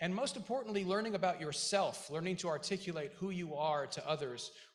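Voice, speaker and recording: A man talks fairly quickly in a space with audible room echo. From Iceland, moved to US very young. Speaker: school board member, Marine veteran, businessman. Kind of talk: commencement speech. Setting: graduation ceremony stage with audience. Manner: halting, with many fillers.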